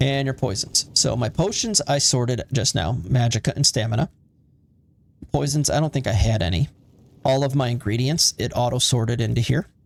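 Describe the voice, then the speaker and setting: A man talks in a somewhat breathy voice whose pitch varies in an ordinary way. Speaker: gaming video creator. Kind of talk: gameplay commentary. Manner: casual, hesitant with fillers.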